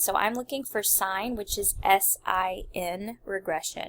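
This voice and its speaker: Medium in pitch, a woman speaks with a bright, sharp tone. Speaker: math teacher. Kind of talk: tutorial. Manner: casual, filler-heavy.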